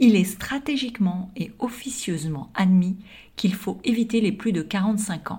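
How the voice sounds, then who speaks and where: A woman talks at a fairly slow pace with ordinary pitch variation. Her tone is dark and mellow and somewhat breathy. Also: medium pitch for a woman. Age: 50s. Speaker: podcaster. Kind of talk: scripted monologue.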